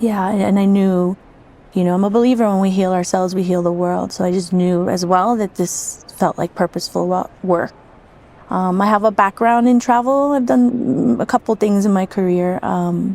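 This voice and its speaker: At a moderate pace, a woman with a New York accent talks at medium pitch with ordinary pitch variation. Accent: New York American. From New York, US. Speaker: psychedelic retreat coordinator and facilitator. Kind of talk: podcast interview.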